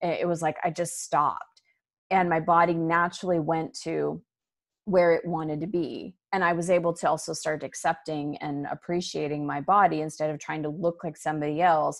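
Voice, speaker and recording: Monotone, flat intonation at a moderate pace against a quiet background. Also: woman, fairly low pitch for a woman. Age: 40s. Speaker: spiritual teacher and author. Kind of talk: interview.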